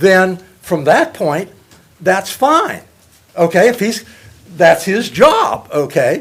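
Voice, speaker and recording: Very wide pitch swings at a very slow pace, broken by long, frequent pauses. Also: man, high pitch for a man. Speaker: public commenter at city council. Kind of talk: public comment. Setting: council meeting. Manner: loud.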